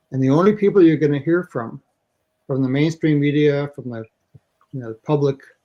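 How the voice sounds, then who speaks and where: With a Canadian accent, a man speaks fairly quickly at a fairly high pitch in a dark, mellow tone. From Canada. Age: 70s. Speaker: election candidate. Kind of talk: interview.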